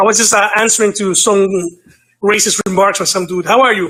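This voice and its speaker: Raising and projecting his high voice, a man talks with ordinary pitch variation. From New York, Dominican parents. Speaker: caller. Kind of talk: call-in discussion.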